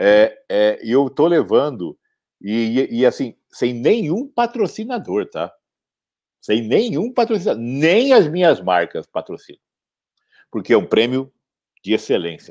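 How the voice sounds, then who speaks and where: The speaker moves at a fairly slow pace with long, frequent pauses and big swings in loudness. The recording is very clean, with a silent background. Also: man. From Campo Grande, Brazil. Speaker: entrepreneur, founder of a consumer complaints website. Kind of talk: interview.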